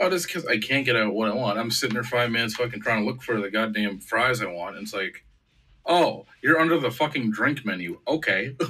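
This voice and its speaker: Bright and sharp in tone, a man at medium pitch talks at a fairly quick pace with lively intonation. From Canada, Oshawa, Ontario. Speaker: podcast host. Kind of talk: casual chat. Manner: animated.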